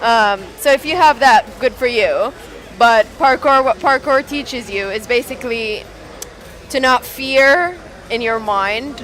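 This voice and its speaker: A woman with an Arabic accent, music in the background. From Saudi Arabia. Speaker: event organiser. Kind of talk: casual chat. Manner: hesitant, many fillers.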